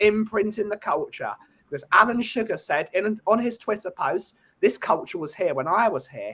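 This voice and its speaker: Animated and projected, a man's high, bright, sharp voice moves at a moderate pace with lively intonation. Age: 20s. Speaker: football fan guest. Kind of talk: casual chat.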